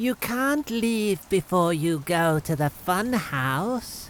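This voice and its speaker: A put-on character voice at a middle pitch moves at a very slow pace. Clear background noise can be heard. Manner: inviting, playful.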